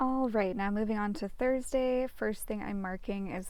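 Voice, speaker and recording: A woman speaks with a fairly high pitch. Room echo is audible. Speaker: planner YouTuber. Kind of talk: casual plan-with-me narration. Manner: fast; chatty, filler-heavy.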